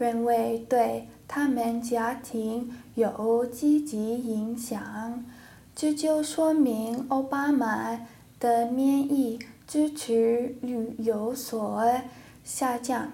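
A woman with an English accent speaks very slowly at a high pitch, her intonation fairly even, with audible room echo. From United States. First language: English (speaking Chinese). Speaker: language student. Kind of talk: classroom discussion. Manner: halting, many fillers.

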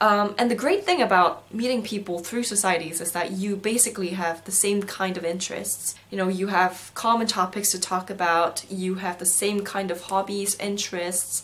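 Against noticeable background noise, a woman speaks at a moderate pace in a medium pitch with ordinary pitch variation. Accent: Korean. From South Korea, schooled in Singapore. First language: Korean. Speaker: university student vlogger. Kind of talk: video diary.

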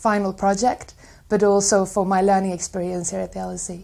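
A woman with a Swedish accent, medium-pitched and monotone-flat, on a very clean recording with a silent background. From Sweden. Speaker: graduate student. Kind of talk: testimonial interview.

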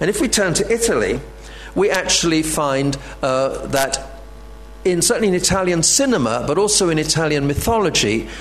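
Noticeable background noise behind a man with lively intonation. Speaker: professor. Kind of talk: lecture. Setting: stage with audience.

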